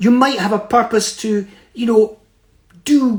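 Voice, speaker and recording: A high-pitched man in a Scottish accent, with ordinary pitch variation. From Scotland, Fife (Kirkcaldy). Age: 70s. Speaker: motivational speaker. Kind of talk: motivational talk. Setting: Instagram live stream.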